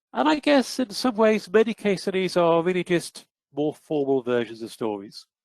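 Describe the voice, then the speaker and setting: A British accent with very wide pitch swings, in a dry, close sound with no echo. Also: man, high pitch for a man, moderate pace. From United Kingdom. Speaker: psychometrics researcher presenting a webinar. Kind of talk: webinar presentation. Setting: online webinar.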